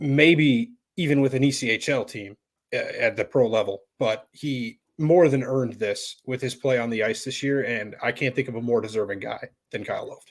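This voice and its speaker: A man talks in an ordinary speaking voice at a medium pitch. His pace is moderate and his pitch variation ordinary. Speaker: sports podcast co-host. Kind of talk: casual podcast discussion.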